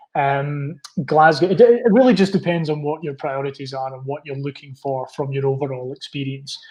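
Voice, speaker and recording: A somewhat breathy man with a Scottish accent, fairly high pitch, moderate pace, ordinary pitch variation and hardly any pauses. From Scotland. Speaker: university representative. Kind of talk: interview. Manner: halting.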